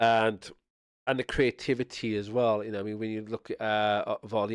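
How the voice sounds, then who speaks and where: A man with a South Welsh accent talks fairly quickly at a fairly low pitch, his intonation flat and monotone. The recording is very clean with a silent background and a dry, close sound without echo. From Wales (Swansea area). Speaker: streamer. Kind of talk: casual chat. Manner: rambling with frequent fillers and repetitions.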